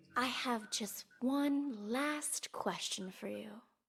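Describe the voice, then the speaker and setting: A woman uses a put-on character voice with a high pitch and a calm tone. She speaks at a very slow pace. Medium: video game. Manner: calm, measured.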